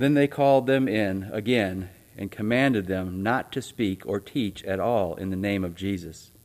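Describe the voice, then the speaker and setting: Fairly low in pitch, a man speaks in a plain, everyday voice. He talks at a fairly slow pace with ordinary pitch variation. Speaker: church announcer and scripture reader. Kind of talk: church announcements and reading aloud. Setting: church.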